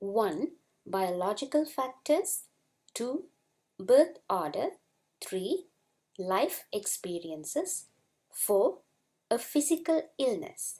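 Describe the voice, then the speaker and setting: Speaking very slowly in a non-native accent, a woman uses a high pitch with very wide pitch swings, a dark, mellow tone, and long, frequent pauses. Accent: non-native English rhythm. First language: not English. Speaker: school psychologist and lecturer. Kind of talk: webinar presentation. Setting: online webinar.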